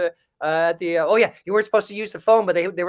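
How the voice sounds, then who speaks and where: His voice is high for a man, and his intonation is fairly even. He speaks at a very fast pace. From Montreal, Canada. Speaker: comedian and voice actor. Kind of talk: podcast interview answer. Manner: hesitant, rambling.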